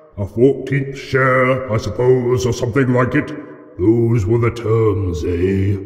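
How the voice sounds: Putting on a character voice, a man speaks at medium pitch and a fairly slow pace, with slight echo.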